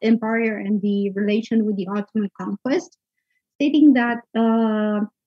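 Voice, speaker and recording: Against a quiet background, a woman with a somewhat breathy, fairly high voice talks at a moderate pace in a dry sound with no echo. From Romania. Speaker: conference speaker, researcher; conference speaker. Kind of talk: academic conference talk. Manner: hesitant, many fillers. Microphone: video call.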